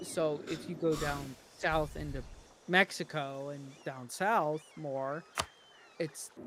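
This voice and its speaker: There is noticeable background noise as a man speaks with a fairly high pitch and fairly even intonation. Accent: Connecticut. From US, Connecticut. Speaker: gaming streamer. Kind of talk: casual chat.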